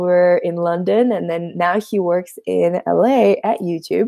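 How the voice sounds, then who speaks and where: A woman with a dark, mellow tone at medium pitch. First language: Russian. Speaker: YouTuber teaching coding. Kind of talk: livestream chat with viewers. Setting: livestream on YouTube and Instagram. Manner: hesitant, many fillers.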